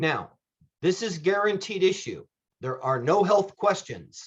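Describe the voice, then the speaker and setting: Lively intonation from a high-pitched man at a fairly slow pace. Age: 50s. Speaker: insurance benefits agent. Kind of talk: presentation.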